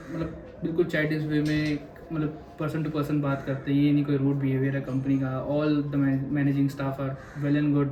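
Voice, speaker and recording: Against noticeable background noise and audible room echo, a man speaks in a fairly high, flat monotone. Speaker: maritime cadet. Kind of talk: interview.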